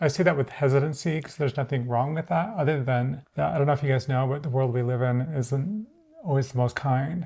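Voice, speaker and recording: Talking at a very fast pace, a woman with a very deep, low voice sounds dark, mellow and somewhat breathy, with ordinary pitch variation. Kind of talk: casual talk to camera.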